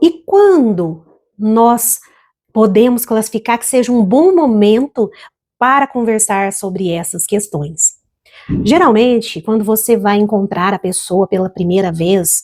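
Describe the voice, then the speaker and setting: A woman with a normal speaking voice talks at a fairly slow pace, her fairly high pitch moving in lively intonation. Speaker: financial educator and small business consultant. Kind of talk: educational talk to camera about couples' finances. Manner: calm, warm, measured.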